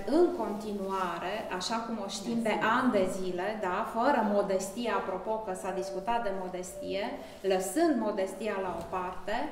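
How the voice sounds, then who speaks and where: A woman speaks at a fairly slow pace with fairly even intonation. The recording has audible room echo and light background noise. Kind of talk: formal thank-you speech at exhibition opening. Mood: grateful, warm. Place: hall. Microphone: camera far.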